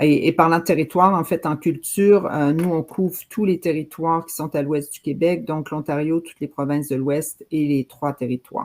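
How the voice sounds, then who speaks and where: Delivery comes at a moderate pace with hardly any pauses. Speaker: government program officer. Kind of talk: presentation.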